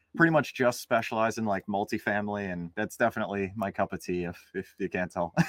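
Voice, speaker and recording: At a very fast pace with hardly any pauses, a man talks at a fairly low pitch with ordinary pitch variation, in a dry, close sound with no echo. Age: 20s. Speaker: real estate investor. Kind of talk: interview.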